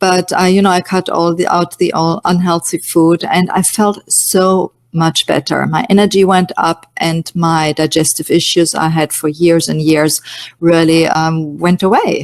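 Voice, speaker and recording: Recorded dry and close with no echo, a woman with a German accent speaks at a fairly slow pace, with fairly even intonation and very even loudness. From Germany, Munich. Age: 50s. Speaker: nutrition coach. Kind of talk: webinar presentation. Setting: online webinar. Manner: hesitant, many fillers.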